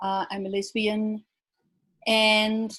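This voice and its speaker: A woman talks in a fairly high, somewhat breathy voice with a New Zealand accent. The recording is very clean, with a silent background. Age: 60s. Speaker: psychiatric survivor advocate. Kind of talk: panel discussion.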